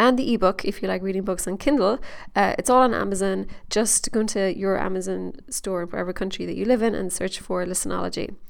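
A woman with an Irish accent speaks very fast at medium pitch, with vocal fry and ordinary pitch variation. The recording is very clean, the background silent. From Ireland. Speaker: podcast host and horse trainer. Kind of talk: monologue update, promotional. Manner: animated, excited.

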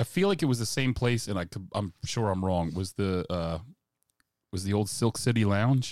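Over a silent background in a very clean recording, a man with an American accent uses a plain, everyday voice at a fairly low pitch, with ordinary pitch variation and a moderate pace. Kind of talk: casual chat.

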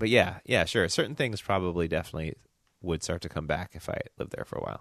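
A man with a slight Southern US accent at a fairly quick pace, ordinary pitch variation, quiet background. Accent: slight Southern, barely audible. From US South, Memphis. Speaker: podcast co-host and designer. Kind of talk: casual chat.

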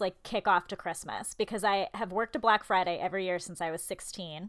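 A woman speaks very fast at a medium pitch. Her pitch varies in an ordinary way. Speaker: podcast co-host. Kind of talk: casual chat. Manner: loud.

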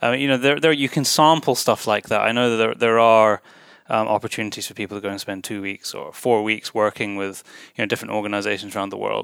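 In a Scottish accent, a man talks at a very fast pace with a medium pitch and ordinary variation. The recording is very clean, with a silent background. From Scotland. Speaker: podcast host. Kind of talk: interview. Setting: hotel room.

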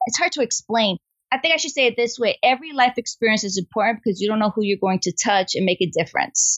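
At a very fast pace, a woman with an American accent speaks at a fairly high pitch with ordinary pitch variation. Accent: New York (Bronx), lessened. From Bronx, New York. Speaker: science teacher and STEAM director. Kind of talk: casual interview.

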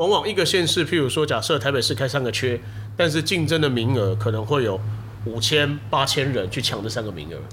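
Recorded with audible room echo, a man talks at a medium pitch with ordinary pitch variation. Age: late 30s. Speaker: video production company head. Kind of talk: casual chat.

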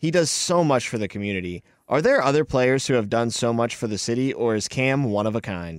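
A man with an unremarkable speaking voice talks at a medium pitch and a fairly quick pace with hardly any pauses. His intonation is lively, and the very clean recording has a silent background. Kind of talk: casual sports Q&A conversation.

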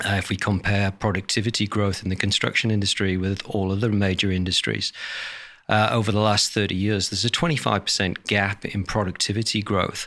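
On a very clean recording with a silent background, a man with a British accent speaks at a fairly quick pace, with a fairly low pitch, ordinary pitch variation and a bright, sharp tone. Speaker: industry association chief executive. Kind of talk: interview.

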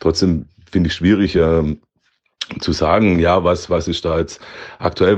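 A moderate pace with fairly even intonation and long, frequent pauses. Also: man. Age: 30s. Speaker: health insurance clerk and club board candidate. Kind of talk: self-introduction.

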